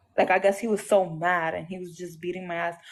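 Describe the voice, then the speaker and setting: Against a quiet background, a woman with a Puerto Rican accent talks at a fairly quick pace, her medium pitch held in fairly even intonation. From Puerto Rico (Aguadilla). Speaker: abuse survivor, ex-girlfriend. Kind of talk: testimony. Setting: livestream call.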